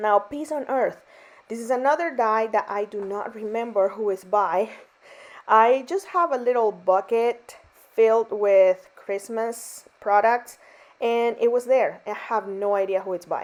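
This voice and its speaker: Speaking with a non-native accent, a woman moves at a fairly slow pace. Her pitch varies in an ordinary way. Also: fairly high pitch for a woman. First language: not English. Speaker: card-making crafter. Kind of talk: craft tutorial voiceover. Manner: casual, chatty with fillers.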